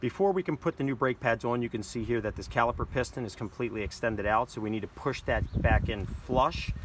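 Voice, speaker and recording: Fairly quick speech with lively intonation, dry and without echo, over noticeable background noise. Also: man. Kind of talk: tutorial. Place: street. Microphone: phone near.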